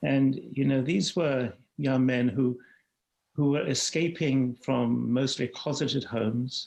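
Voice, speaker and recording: A man speaks with a British accent and fairly even intonation. His loudness stays very even. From London, England. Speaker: HIV activist. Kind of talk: interview. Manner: halting, repeats words.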